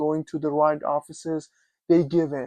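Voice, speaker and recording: The speaker has a non-native accent. The background is quiet. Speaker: immigrant commentator. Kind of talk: casual talk to camera.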